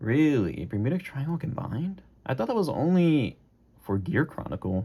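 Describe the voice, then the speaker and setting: A man speaks at a moderate pace in a fairly high, somewhat breathy voice. His pitch swings very widely. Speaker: gaming YouTuber. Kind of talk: unboxing commentary. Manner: casual, halting with fillers.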